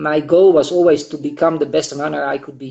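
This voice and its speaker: Speaking with a Dutch accent, a man talks at a moderate pace and a fairly high pitch with fairly even intonation. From Netherlands. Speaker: marathon runner and running coach. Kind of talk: interview. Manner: hesitant, many fillers.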